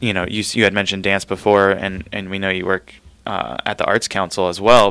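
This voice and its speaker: An American-accented man with a fairly low pitch talks at a fairly quick pace. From Southern California, San Fernando Valley. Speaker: radio show host. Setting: radio booth. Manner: chatty, rambling.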